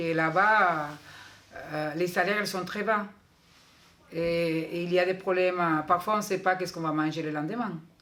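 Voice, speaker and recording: A woman with a fairly low pitch speaks at a moderate pace, with fairly even intonation. Long, frequent pauses break up her speech, and room echo is audible. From Cuba. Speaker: school staff. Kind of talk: interview.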